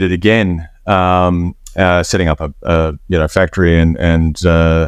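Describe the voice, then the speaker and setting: Fairly even intonation in an American accent, hardly any pauses, and a quiet background. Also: man. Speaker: furniture and lighting designer. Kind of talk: interview. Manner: hesitant, many fillers.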